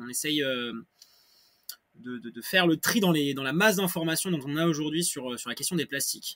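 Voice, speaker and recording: A man talks at a moderate pace with lively intonation. His pitch is fairly high. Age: 20s. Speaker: association co-founder. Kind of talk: podcast interview. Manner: halting, many hesitations and repetitions.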